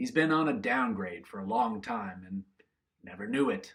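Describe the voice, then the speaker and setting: A man puts on a character voice with very wide pitch swings. He keeps a moderate pace. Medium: read story. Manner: terse, gruff.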